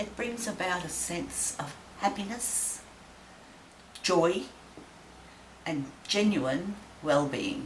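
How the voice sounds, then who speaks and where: A woman's medium-pitched voice in an Australian accent, very slow with long, frequent pauses and very wide pitch swings, amid audible room echo and noticeable background noise. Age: 70s. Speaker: interviewee sharing reflections. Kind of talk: personal reflection to camera.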